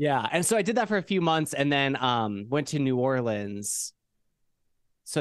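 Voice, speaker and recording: A man with an ordinary speaking voice and an American accent, medium pitch, moderate pace, over a quiet background. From Idaho, US. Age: 20s. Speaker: musician and streamer. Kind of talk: casual chat.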